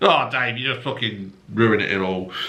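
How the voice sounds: A man speaks at a moderate pace with fairly low pitch, a bright, sharp tone and strong room echo. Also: ordinary pitch variation.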